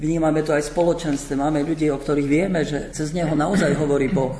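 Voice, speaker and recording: The man's voice sits fairly high with fairly even intonation. Noticeable background noise can be heard. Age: old. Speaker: priest and missionary. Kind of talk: radio panel discussion.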